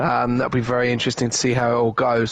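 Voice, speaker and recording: The speaker has a British accent. Noticeable background noise runs under the voice. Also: man. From Britain. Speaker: esports co-commentator. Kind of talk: live commentary.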